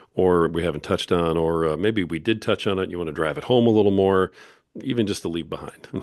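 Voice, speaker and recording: A very fast-talking man with a very deep, low pitch and ordinary pitch variation. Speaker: podcast host. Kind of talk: interview.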